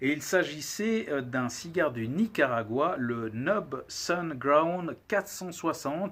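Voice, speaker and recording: Speaking at a very slow pace with hardly any pauses, a man with a fairly high pitch uses lively intonation on a very clean recording with a silent background. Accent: Valais. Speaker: cigar reviewer, channel host. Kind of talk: casual video monologue, product review. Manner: hesitant, many filler words.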